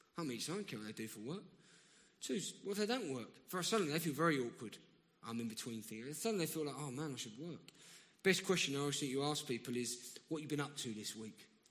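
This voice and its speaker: A man with a South London accent speaks very fast at a fairly high pitch. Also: lively intonation. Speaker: guest preacher. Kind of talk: sermon. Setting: church.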